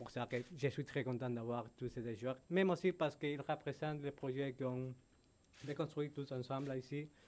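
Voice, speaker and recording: A man with a Spanish accent speaks at a moderate pace. His pitch is fairly high and his intonation fairly even. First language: Spanish (speaking French). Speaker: football club executive. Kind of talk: press conference. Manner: halting.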